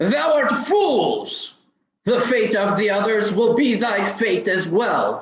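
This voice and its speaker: Using a put-on character voice, a man talks at a very slow pace and a high pitch, with a slight echo. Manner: menacing, archaic.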